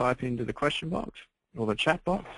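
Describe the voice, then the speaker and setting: This man speaks with an Australian accent. His pace is moderate and his pitch variation ordinary. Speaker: webinar host. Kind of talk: webinar Q&A moderation. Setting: webinar.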